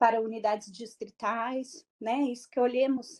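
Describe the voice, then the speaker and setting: A woman's fairly high pitch in a monotone, flat delivery. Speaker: public health program coordinator. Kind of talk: online lecture.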